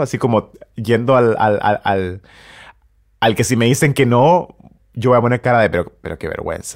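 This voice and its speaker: A man's normal speaking voice at a medium pitch, with ordinary pitch variation. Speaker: musician and pianist. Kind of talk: interview.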